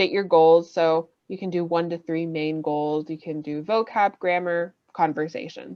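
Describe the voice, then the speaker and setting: Using a plain, everyday voice, a woman with a fairly low pitch talks at a fairly slow pace with ordinary pitch variation. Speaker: ESL teacher running a workshop. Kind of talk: workshop lecture over video call. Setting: video call. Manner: casual, filler-heavy.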